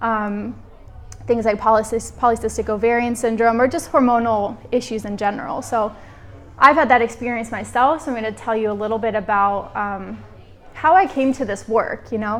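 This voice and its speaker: Using a plain, everyday voice, a woman with an American accent talks at a moderate pace, fairly high in pitch and with fairly even intonation. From United States. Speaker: women's health practitioner. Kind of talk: live workshop talk. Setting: workshop room with audience. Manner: casual, conversational with fillers.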